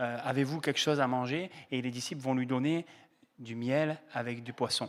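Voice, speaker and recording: Pitch varies in an ordinary way as a man talks at a moderate pace. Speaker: pastor. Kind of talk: sermon. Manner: hesitant, many fillers.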